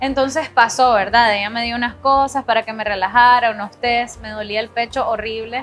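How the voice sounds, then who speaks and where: Music plays behind a woman with a fairly high pitch. She speaks at a moderate pace with monotone, flat intonation. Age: 20s. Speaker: singer and art director. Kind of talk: testimony.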